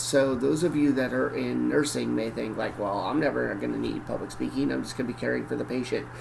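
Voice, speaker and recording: A man with an American accent at a very fast pace, amid noticeable background noise and audible room echo. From northern Michigan (Cadillac). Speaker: college professor. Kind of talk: lecture. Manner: casual, conversational.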